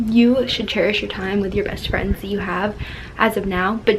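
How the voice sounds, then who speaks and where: With an American accent, a woman speaks at a medium pitch. Noticeable background noise is present. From Florida. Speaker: lifestyle vlogger. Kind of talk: casual advice vlog. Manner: fast; animated.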